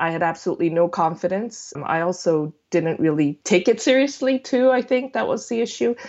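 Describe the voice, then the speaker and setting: With hardly any pauses, a woman with a Korean accent talks at a fairly quick pace. Her pitch swings very widely. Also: medium pitch for a woman. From South Korea. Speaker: food blogger. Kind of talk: casual interview chat.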